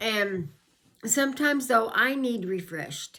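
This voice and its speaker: A woman's fairly high, bright and sharp voice with lively intonation at a fairly slow pace. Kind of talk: informal teaching talk. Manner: folksy, backwoodsy speech; halting with fillers.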